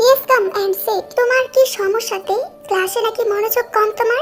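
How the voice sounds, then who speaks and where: A woman puts on a squeaky character voice. Music plays clearly in the background. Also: moderate pace. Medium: read story. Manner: firm, measured.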